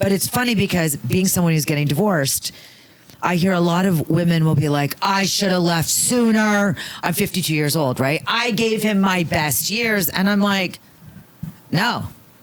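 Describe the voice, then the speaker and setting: Lively intonation at a moderate pace with an American accent, over noticeable background noise. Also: woman. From Las Vegas, US. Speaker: comedian. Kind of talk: casual chat. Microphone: poor sound quality.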